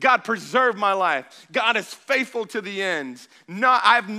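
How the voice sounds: The clip has a natural reading voice with ordinary pitch variation.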